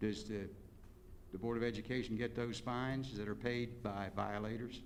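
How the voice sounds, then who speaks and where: A man at medium pitch with monotone, flat intonation and a moderate pace, amid noticeable background noise and audible room echo. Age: 70s. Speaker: public commenter. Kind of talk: public comment at board meeting. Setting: school board meeting.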